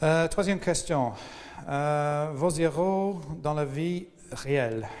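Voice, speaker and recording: A man with an English accent, fairly high-pitched with ordinary pitch variation, at a very slow pace amid audible room echo. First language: English (speaking French). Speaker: interviewee. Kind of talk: interview. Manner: halting, many hesitations.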